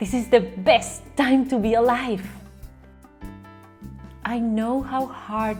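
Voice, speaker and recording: Music plays in the background as a woman speaks in an upbeat, enthusiastic tone at a fairly high pitch. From Caribbean. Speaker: vocal coach. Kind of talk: welcome message to camera.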